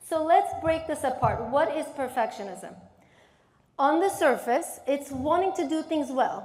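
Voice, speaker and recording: A woman speaks in an animated tone at a fairly slow pace. Audible room echo surrounds her voice. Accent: Turkish. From Turkey, Istanbul. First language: Turkish. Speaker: therapist and keynote speaker. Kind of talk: keynote speech. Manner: animated, interactive with audience.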